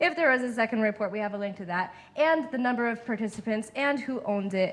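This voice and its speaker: A woman with a fairly high pitch speaks very fast and with lively intonation. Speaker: user research lead, speaker. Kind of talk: Q&A after a talk.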